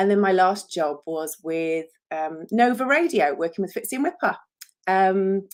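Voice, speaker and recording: Woman with an English accent, medium pitch, lively intonation and a moderate pace, on a very clean recording with a silent background. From England. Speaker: author and publicist. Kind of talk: live stream talk about her book. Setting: solo Facebook live video. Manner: chatty, many fillers.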